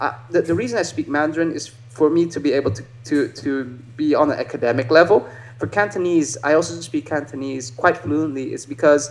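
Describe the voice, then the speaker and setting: A man's fairly high voice at a very fast pace against noticeable background noise. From Netherlands. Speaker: martial artist. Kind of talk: casual chat. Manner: halting.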